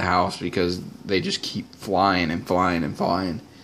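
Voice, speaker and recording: At a moderate pace, a man talks with monotone, flat intonation. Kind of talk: casual vlog chat. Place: home room.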